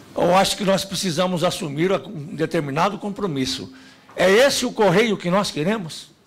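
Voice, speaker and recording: The speaker is a man with a high voice. His pitch varies in an ordinary way. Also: moderate pace. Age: 50s. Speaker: union leader. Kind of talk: speech at a public hearing. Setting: parliamentary committee hearing. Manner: formal.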